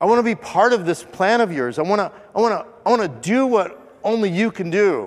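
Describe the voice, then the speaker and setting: A man with a high-pitched voice talks at a fairly quick pace, with lively intonation and noticeable background noise. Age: 50s. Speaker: pastor. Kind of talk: sermon. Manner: conversational.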